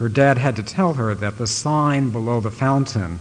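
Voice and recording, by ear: A passage is read aloud in a natural voice. The pitch moves in an ordinary way.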